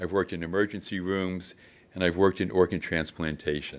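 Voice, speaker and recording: Fairly quick in pace, a man talks with a very deep, low voice. His intonation stays fairly even. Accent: American. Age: 70s. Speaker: public commenter, retired nurse. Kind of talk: public comment at government meeting. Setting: county commission meeting room.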